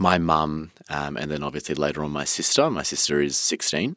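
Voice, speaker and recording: A man speaks with an Australian accent at a very deep, low pitch. His pace is moderate. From Melbourne, Australia. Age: 20s. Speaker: interviewee sharing mental health story. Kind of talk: personal testimony in interview.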